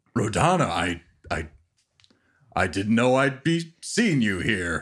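A man performs a put-on character voice at a very slow pace. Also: medium pitch for a man. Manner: animal character voice.

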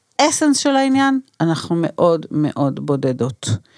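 This woman's pitch swings very widely. She moves at a fairly slow pace. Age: 60s. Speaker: doula and anthropologist. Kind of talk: interview. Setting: studio.

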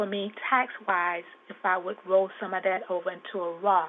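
A woman's monotone, flat delivery over noticeable background noise. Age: 70s. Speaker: caller. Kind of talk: phone-in question. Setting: phone call. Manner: halting.

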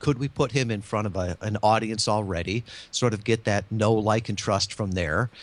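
A man speaks in a plain, everyday voice, fairly low in pitch and fairly even in intonation. His pace is moderate, and the recording is very clean with a silent background. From Michigan. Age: 50s. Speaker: marketing consultant and podcast guest. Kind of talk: interview.

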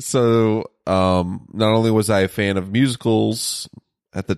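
Using fairly even intonation, a man talks at a fairly slow pace in a dry, close sound with no echo. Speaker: podcast co-host. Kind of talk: casual chat. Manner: laid-back.

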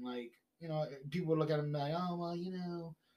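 High-pitched for a man, this voice has a New York accent. His intonation stays fairly even. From Brooklyn, New York. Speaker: podcast guest. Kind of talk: casual chat.

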